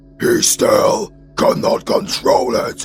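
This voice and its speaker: Using a put-on character voice, a man speaks at a very slow pace. Clear music plays in the background. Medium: audio drama.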